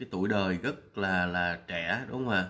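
At a moderate pace, a man is speaking. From Vietnam. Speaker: vlogger. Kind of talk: vlog commentary. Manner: hesitant, many fillers. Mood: warm, respectful. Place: home room. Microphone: webcam.

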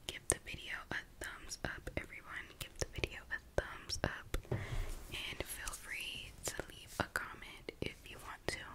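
A soft-spoken woman whispering at a fairly slow pace over loud background noise. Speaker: ASMR creator. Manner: soft close-mic ASMR whisper. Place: home room. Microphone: studio mic.

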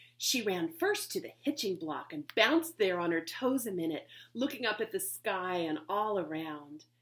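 Someone speaks in a natural reading voice.

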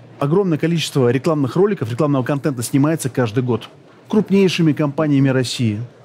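The man's talking moves at a fairly quick pace, his intonation lively. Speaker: interviewee. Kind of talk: interview answer. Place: booth. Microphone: headset.

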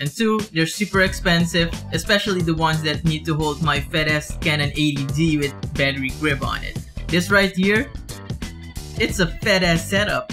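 Moderate-speed male speech over clear background music. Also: ordinary pitch variation. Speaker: vlogger. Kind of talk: casual vlog chat. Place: home room.

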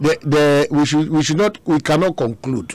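A man with a fairly high pitch and a slightly mellow tone talks at a moderate pace. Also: ordinary pitch variation.

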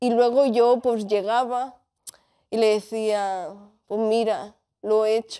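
A woman's dark, mellow tone at a very slow pace, monotone and flat in intonation, with long, frequent pauses against a quiet background. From Spain, Catalonia (Tarragona, El Vendrell); Catalonia. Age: 20s. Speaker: bullying survivor; interview guest. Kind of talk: testimony. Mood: serious, emotional, reflective. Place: studio. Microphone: lapel.

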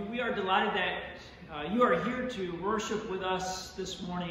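A man talks in a high voice with strong room echo. Light background noise is audible. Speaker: pastor. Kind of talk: church welcome announcements. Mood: warm, welcoming. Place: church.

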